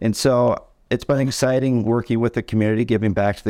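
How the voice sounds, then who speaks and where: With an American accent, a man speaks at a fairly low pitch and a fairly quick pace, his tone dark and mellow, his intonation fairly even, on a very clean recording with a silent background. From Michigan (Tawas). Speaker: mortgage branch manager. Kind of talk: casual interview.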